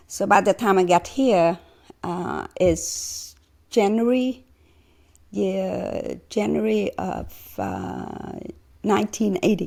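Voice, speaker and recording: Long, frequent pauses break up a woman's speech, which goes at a very slow pace. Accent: Vietnamese. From Vietnam, Saigon. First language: Vietnamese. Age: 60s. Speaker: former refugee. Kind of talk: interview. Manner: halting, many fillers.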